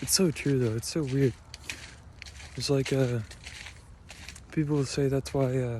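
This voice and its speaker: Fairly slow speech with an American accent, fairly even intonation, long and frequent pauses, and noticeable background noise. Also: man, medium pitch for a man. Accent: Minnesotan, strong in the cold. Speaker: vlogger. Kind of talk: casual monologue vlog. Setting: outdoors in a park, cold. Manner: hesitant, many fillers.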